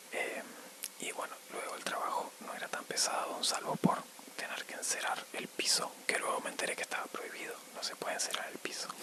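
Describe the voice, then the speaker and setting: A man's whisper at a fairly quick pace, with noticeable background noise. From Argentina. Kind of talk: ASMR storytime. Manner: whispered, soft-spoken.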